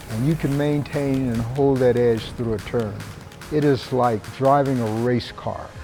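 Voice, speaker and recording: Music plays behind a man speaking at a fairly slow pace. His pitch is medium. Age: 80s+. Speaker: ski instructor. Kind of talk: interview answer.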